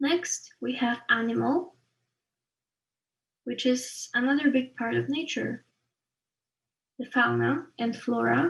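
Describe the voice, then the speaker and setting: A woman with a Polish accent talks at a very slow pace, leaving long, frequent pauses. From Poland. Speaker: art student. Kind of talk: tutorial. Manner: halting.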